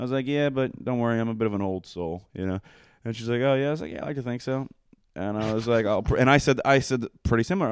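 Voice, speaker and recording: Over a very clean recording with a silent background, a man with an American accent speaks at a very fast pace with ordinary pitch variation. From Pennsylvania, Coatesville. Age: 20s. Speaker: podcast guest. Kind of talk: casual chat.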